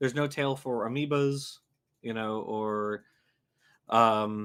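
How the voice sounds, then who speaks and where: A man with a Louisiana accent speaks very slowly at a medium pitch on a very clean recording with a silent background. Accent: Louisiana Southern. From US South, Louisiana. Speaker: science YouTuber, livestream host. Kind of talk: casual livestream chat about biology. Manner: halting, many fillers.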